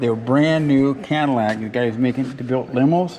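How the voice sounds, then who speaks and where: Noticeable background noise fills the clip. Through it, a man talks at a medium pitch. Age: 80s+. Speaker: custom car builder. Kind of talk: interview answer. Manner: casual, conversational.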